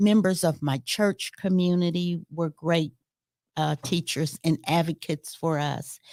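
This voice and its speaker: A woman with a Middle Tennessee accent speaks at a fairly slow pace and fairly low pitch. The recording is very clean, with a silent background and a dry, close sound with no echo. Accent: Southern American (Middle Tennessee). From US South. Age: 70s. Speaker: retired university educator. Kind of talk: interview.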